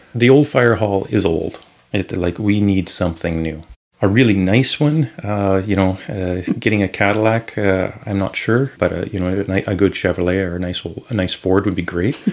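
A man speaks in an ordinary speaking voice with a Canadian accent. His fairly low pitch shows ordinary variation at a moderate pace. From Saskatchewan, Canada. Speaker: municipal council candidate. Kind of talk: casual interview. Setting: studio.

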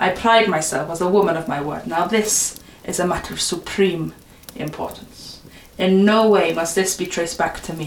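The pitch moves in an ordinary way. The reading voice is unforced.

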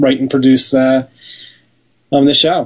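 The man keeps a moderate pace. His voice sits at a medium pitch. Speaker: television producer. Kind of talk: interview.

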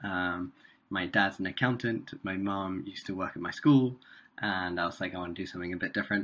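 Bright and sharp in tone, a man's low voice carries fairly even intonation.

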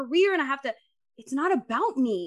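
A woman speaks in a bright, sharp tone with very wide pitch swings against a quiet background. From Dominican heritage. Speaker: podcast host and grant consultant. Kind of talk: casual interview.

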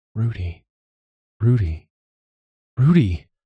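Putting on a character voice, a man speaks slowly at a fairly low pitch with a husky, rough edge and big pitch swings.

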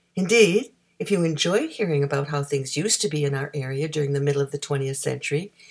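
A woman with a Canadian accent talks at a fairly quick pace in a very deep, low pitch. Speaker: radio announcer. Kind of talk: scripted narration.

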